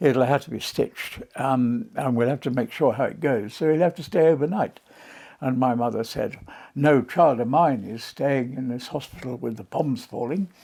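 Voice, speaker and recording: The very clean recording has a silent background behind a man's dark, mellow tone. His medium-pitched voice, with ordinary pitch variation, moves at a moderate pace. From South London, England. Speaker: retired clergyman. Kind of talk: life story interview. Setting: at home in France. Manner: eloquent storytelling; hesitant with many fillers.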